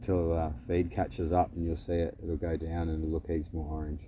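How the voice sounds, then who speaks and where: Very deep and low, a man's somewhat breathy voice carries a dark, mellow tone and fairly even intonation. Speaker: live streamer. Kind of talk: live stream chat. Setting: outdoors at beach. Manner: casual, rambling.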